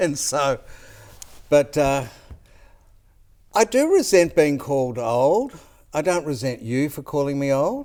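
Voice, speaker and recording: Speaking with an Australian accent, a man uses a fairly high pitch and ordinary pitch variation. His pace is fairly slow, broken by long, frequent pauses. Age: old. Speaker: former politician. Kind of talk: casual chat.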